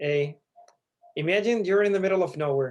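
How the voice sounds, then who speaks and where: Ordinary pitch variation from a man at a fairly quick pace. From Chile. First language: Spanish. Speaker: startup founder. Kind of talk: elevator pitch.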